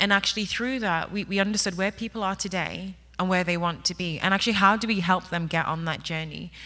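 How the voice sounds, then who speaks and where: A woman with an English accent speaks at a medium pitch. Her tone is bright and sharp, and her pace is very fast. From England. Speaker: workplace technology executive. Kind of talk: conference panel talk. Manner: animated.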